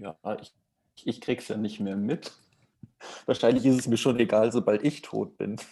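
A man's dark, mellow voice at a medium pitch, with ordinary pitch variation, big swings in loudness, a moderate pace and long, frequent pauses. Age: 20s. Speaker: prop master, podcast guest. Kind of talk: casual chat.

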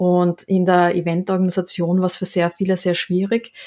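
This is a woman speaking. Her pitch is fairly low. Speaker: podcast co-host, game event organizer. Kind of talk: casual chat. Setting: video call.

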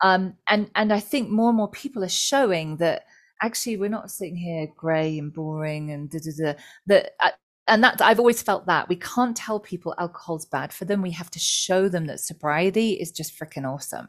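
A plain, everyday voice with lively intonation and big swings in loudness, at a moderate pace, on a very clean recording with a silent background. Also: woman, medium pitch for a woman. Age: 40s. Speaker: author and psychotherapist. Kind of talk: interview.

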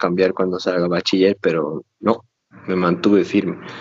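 A man speaks at a moderate pace, his pitch fairly low. His intonation stays flat and monotone. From Bolivia, Cochabamba. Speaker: cardiovascular surgeon. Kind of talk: casual interview.

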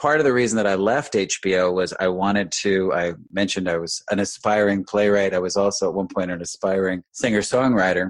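A man speaks in an ordinary speaking voice with an American accent and a fairly low pitch. His pace is fairly quick, with hardly any pauses and ordinary pitch variation. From New York, Westchester County. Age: 50s. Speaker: real estate broker. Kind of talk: interview.

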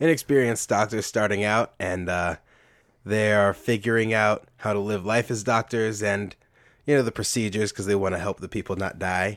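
A man at a fairly low pitch and moderate pace, an ordinary speaking voice on a very clean recording with a silent background. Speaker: guest. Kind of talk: casual chat.

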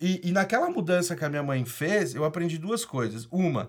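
This man's voice sits high in pitch. He speaks with lively intonation. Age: 30s. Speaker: startup founder and entrepreneur. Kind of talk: casual interview, personal storytelling. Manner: casual, slangy with many fillers.

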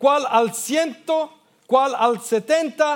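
Words come out very slowly. The pitch moves up and down in a typical manner. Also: man. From Australia. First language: English (speaking Spanish). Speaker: pastor. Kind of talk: sermon. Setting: church. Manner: halting.

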